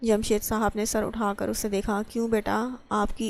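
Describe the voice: Intonation holds fairly even. The delivery is plain reading aloud.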